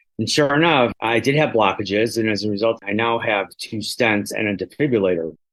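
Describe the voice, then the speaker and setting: A man with an unremarkable speaking voice and fairly low pitch talks at a fairly quick pace, with ordinary pitch variation and hardly any pauses. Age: 60s. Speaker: patient living with HIV. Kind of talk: testimony.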